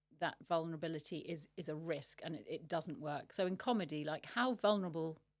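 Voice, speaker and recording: In a British accent, a woman talks at a fairly quick pace. Her pitch is fairly low. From Britain. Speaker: podcast host. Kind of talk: interview.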